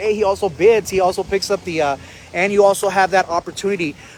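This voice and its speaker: Fairly quick speech from a man, noticeable background noise behind him. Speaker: auction host / auctioneer. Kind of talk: auction preview presentation, live-stream host talk. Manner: upbeat, energetic, friendly.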